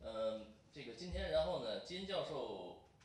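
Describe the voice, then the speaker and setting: A man speaks in a room with audible echo. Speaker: event moderator. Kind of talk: formal introduction and moderation. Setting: stage with audience. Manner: halting, many fillers. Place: meeting room. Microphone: podium.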